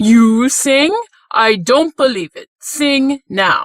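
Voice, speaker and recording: In a dry, close recording with no echo, a woman puts on a high-pitched character voice, speaking very slowly with very wide pitch swings. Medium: read story. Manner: curt, bullying, demanding.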